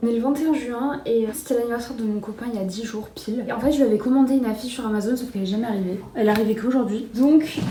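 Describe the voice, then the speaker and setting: A woman speaks with ordinary pitch variation. Noticeable background noise and audible room echo surround her voice. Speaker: vlogger. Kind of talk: casual vlog to camera. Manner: fast; hesitant, many fillers.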